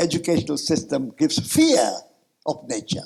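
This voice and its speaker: A man with a fairly high pitch and some vocal fry talks at a fairly slow pace with ordinary pitch variation. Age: 80s. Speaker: peace activist and author. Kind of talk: conference talk.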